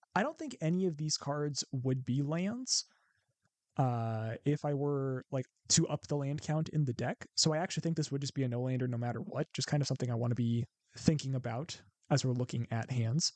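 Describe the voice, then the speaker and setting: A man's fairly high voice with a Midwestern accent, at a fairly quick pace, in a dry, close sound with no echo. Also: ordinary pitch variation. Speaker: card game content creator. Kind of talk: gameplay commentary. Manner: casual, thinking aloud.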